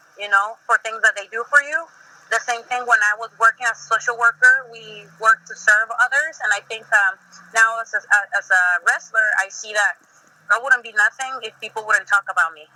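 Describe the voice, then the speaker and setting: A woman with a Spanish accent speaks at a fairly quick pace, her fairly high, bright, sharp voice keeping fairly even intonation amid big swings in loudness, in a dry, close sound with no echo. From Mexico. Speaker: professional wrestler. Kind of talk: interview.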